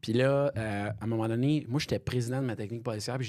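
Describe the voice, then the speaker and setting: Recorded very cleanly over a silent background, a man at medium pitch uses an ordinary speaking voice with fairly even intonation. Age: 30s. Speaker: police officer and comedian. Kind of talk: casual interview chat. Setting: podcast studio.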